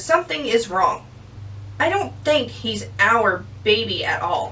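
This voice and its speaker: A woman uses a put-on character voice at a fairly slow pace. Clear background noise is present. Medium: read story.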